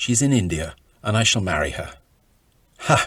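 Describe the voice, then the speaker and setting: A man speaks at a moderate pace, somewhat breathy. His pitch varies in an ordinary way. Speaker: author reading from his own book. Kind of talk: audiobook-style reading of own travel memoir.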